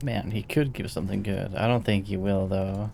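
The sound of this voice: With vocal fry in his fairly low voice, a man talks at a moderate pace in a dark, mellow tone and fairly even intonation.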